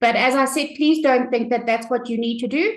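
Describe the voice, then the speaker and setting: A woman is speaking. Her voice is high, with an ordinary amount of pitch movement. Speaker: business trainer. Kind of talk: live tutorial. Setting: live webinar with camera. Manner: hesitant fillers.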